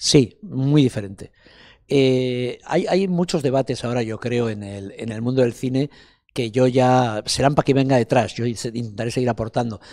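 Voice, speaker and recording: At a moderate pace, a man speaks in a dark, mellow tone with ordinary pitch variation against a quiet background. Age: 60s. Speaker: film festival director; interviewee. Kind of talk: interview. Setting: festival interview set. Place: hall. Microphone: handheld.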